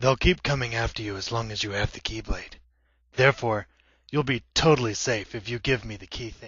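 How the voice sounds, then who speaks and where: A man puts on a character voice at a medium pitch, moving at a fairly quick pace. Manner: curt, deadpan.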